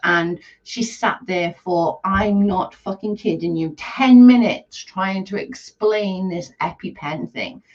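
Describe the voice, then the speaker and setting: At medium pitch and a fairly slow pace, a woman speaks in a somewhat breathy voice. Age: 40s. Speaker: live streamer. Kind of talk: casual chat. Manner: animated.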